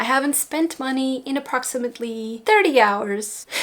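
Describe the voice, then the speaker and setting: A woman with a Portuguese accent at a moderate pace, ordinary pitch variation, and noticeable background noise. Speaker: beauty YouTuber. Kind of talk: casual chat. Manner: rambling casual.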